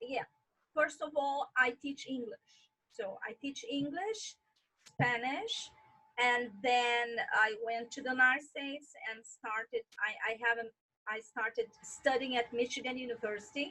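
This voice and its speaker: A woman with an American accent projects a raised voice in a bright, sharp tone, her pitch high with ordinary variation. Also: fairly slow pace. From Brazil. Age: 40s. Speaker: tour guide. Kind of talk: interview.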